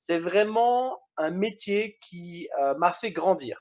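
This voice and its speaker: With a Belgian accent, a man speaks at a high pitch. His intonation is lively. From Belgium. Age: 20s. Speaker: network marketing trainer. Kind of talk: online training presentation. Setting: video call.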